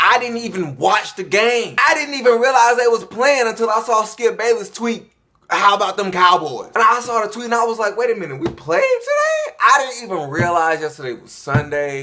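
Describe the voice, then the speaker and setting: With hardly any pauses, a man talks at a moderate pace in a raised, projected voice that is high in pitch and lively in intonation. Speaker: sports YouTuber. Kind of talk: casual vlog commentary.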